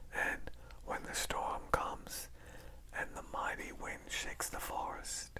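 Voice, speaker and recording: Whispering and soft-spoken, the voice moves at a very slow pace against noticeable background noise. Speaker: reader. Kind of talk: reading aloud from a book. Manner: soft ASMR whispered reading.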